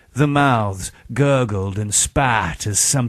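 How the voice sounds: The pitch varies in an ordinary way through a natural reading voice.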